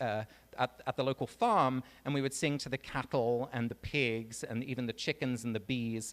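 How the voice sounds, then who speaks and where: A man with an English accent is heard on a very clean recording with a silent background. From England. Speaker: author and speaker. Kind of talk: talk to a live audience. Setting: stage with audience. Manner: conversational, many fillers.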